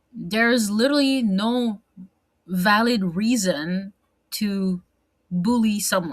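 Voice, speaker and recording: Somewhat breathy and animated in tone, a woman speaks at medium pitch with ordinary pitch variation. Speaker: vlogger. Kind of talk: casual monologue vlog. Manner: hesitant, many fillers and restarts.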